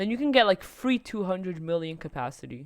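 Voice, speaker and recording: A woman with a non-native accent at a medium pitch. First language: not English. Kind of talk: casual game guide talk. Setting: low-quality home microphone. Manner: hesitant, stuttering.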